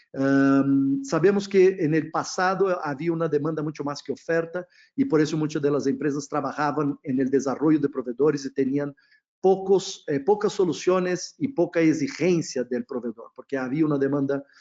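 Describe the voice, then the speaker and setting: This man has a Brazilian accent and a fairly high pitch. His pitch varies in an ordinary way. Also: moderate pace. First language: Portuguese (speaking Spanish). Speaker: procurement consultant. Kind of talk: webinar presentation. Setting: online webinar. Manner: hesitant, frequent fillers.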